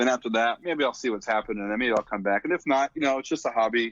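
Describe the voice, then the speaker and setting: A man speaks with ordinary pitch variation. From Philadelphia, US. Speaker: drum corps instructor and former marcher. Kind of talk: podcast interview. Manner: casual, with many fillers and restarts.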